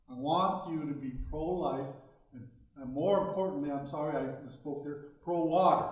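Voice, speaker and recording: With ordinary pitch variation and a moderate pace, a man is heard through audible room echo and noticeable background noise. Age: 60s. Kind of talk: public talk. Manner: halting, with fillers.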